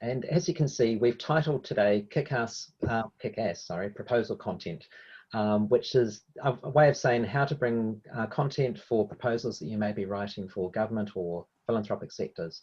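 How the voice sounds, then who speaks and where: A man with a New Zealand accent talks at a moderate pace in a medium-pitched voice against a quiet background. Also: ordinary pitch variation. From New Zealand, Hamilton. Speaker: evaluation consultant, workshop presenter. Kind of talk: webinar presentation.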